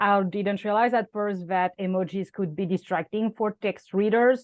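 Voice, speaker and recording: Here a woman speaks at a moderate pace. Her intonation is fairly even. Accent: French. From France. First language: French. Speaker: content strategist. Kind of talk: interview. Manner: hesitant, many fillers.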